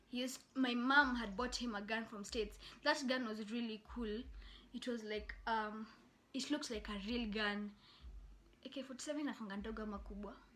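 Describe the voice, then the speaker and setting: The voice has a bright, sharp tone and sounds animated. It moves at a fairly quick pace. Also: woman, fairly high pitch for a woman. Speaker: YouTuber. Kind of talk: storytelling.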